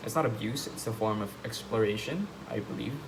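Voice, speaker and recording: This man talks at a moderate pace in a fairly low voice with a non-native accent. Audible room echo surrounds his speech. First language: not English. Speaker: vlogger. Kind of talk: casual monologue. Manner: halting.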